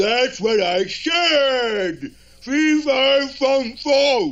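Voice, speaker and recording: Putting on a cartoonish character voice, a man talks very slowly at an extremely high pitch. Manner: blustering, bossy.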